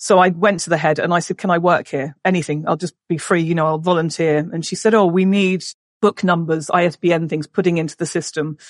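A woman with an English accent speaks at a fairly low pitch with fairly even intonation, the sound dry and close with no echo and the background quiet. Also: fairly quick pace. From England. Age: 40s. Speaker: business owner and mother. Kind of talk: casual interview.

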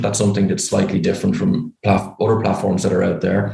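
A fairly quick-talking man with an Irish accent. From Ireland. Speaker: startup founder and CEO. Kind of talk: casual interview. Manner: cheerful, direct.

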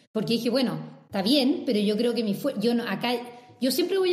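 A woman talks at a fairly quick pace with a fairly high pitch and lively intonation. Audible room echo surrounds her voice. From Brazil. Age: 30s. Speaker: startup consultant. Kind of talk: casual interview.

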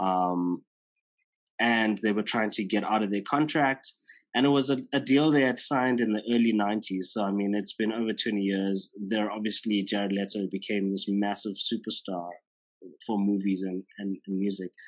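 Speaking with a South African accent, a man has a fairly low pitch and fairly even intonation. His pace is moderate, and the background is quiet. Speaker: podcast host. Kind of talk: casual interview. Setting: video call.

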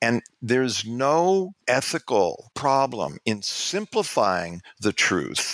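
A man with an American accent and very wide pitch swings, on a very clean recording with a silent background. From New York City. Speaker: public relations executive and activist. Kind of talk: interview.

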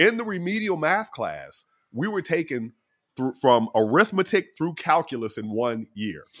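Against a quiet background, a man with an American accent and a fairly high voice speaks at a moderate pace in a bright, sharp, animated tone with very wide pitch swings. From US South. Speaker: astronomer and physicist. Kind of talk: interview conversation. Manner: jovial.

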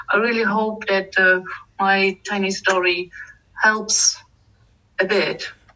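A woman's medium-pitched voice with a German accent, very slow and flat in a monotone, broken by long, frequent pauses. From eastern Germany. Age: 40s. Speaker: finance manager. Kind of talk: interview. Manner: hesitant, many fillers.

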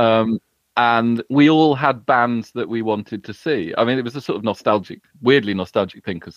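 The speaker has a British accent. The pace is moderate, and the pitch varies in an ordinary way. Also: man, medium pitch for a man. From UK. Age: 40s. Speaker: writer. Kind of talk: casual chat.

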